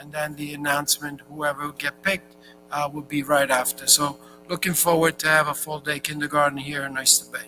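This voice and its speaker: A man's fairly high voice moves at a moderate pace. Music can be heard behind him. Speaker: school superintendent. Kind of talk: meeting report. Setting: school board meeting.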